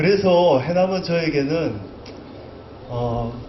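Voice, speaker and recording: A man's shaky voice comes through with audible room echo and noticeable background noise. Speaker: poet. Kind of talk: literary talk. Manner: trembling voice.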